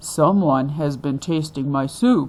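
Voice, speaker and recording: A woman's put-on character voice, very deep and low, gruff, booming and growling, at a fairly slow pace. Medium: read story.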